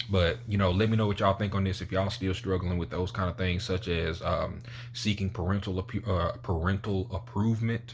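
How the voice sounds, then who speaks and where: Talking at a fairly quick pace with hardly any pauses, a man uses a fairly low, somewhat breathy voice and fairly even intonation. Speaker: motivational YouTuber. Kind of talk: motivational talk to camera. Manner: casual, conversational.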